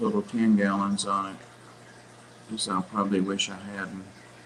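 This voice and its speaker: Mumbling, a man speaks in a monotone, flat intonation. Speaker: fish hobby livestream host. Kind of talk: casual chat.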